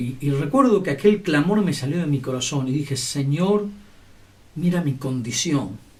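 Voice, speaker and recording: A man speaks at a fairly slow pace, his fairly high voice somewhat breathy. His intonation is lively, and audible room echo surrounds him. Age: 60s. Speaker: lay preacher. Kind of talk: sermon.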